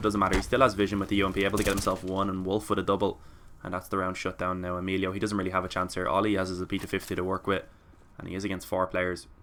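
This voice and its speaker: Talking at a very fast pace, a man uses a fairly low pitch, a bright, sharp tone and fairly even intonation. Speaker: esports caster. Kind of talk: live commentary.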